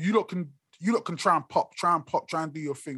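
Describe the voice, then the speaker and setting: On a very clean recording with a silent background, a man speaks at a fairly quick pace in a high pitch with lively intonation. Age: 40s. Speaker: podcast co-host. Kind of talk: casual chat.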